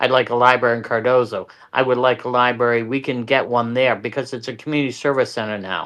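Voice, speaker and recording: The words run at a very fast pace with hardly any pauses. The intonation stays monotone and flat. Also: man, medium pitch for a man. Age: 60s. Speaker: local political candidate. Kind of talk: interview.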